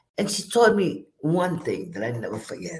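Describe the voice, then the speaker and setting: A woman's fairly low voice with vocal fry and very wide pitch swings. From Puerto Rico. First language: Spanish. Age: 70s. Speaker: graduate speaker. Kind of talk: testimony.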